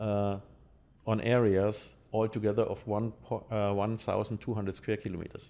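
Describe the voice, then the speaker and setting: A man with a German accent speaks fairly low in a dark, mellow tone, his intonation monotone and flat. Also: moderate pace, quiet background. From Germany. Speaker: lottery game designer. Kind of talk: podcast interview. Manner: halting, many fillers.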